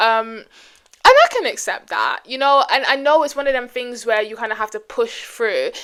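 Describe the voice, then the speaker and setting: Speaking at a moderate pace, a woman has a British accent. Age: 20s. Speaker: vlogger. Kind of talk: casual chat.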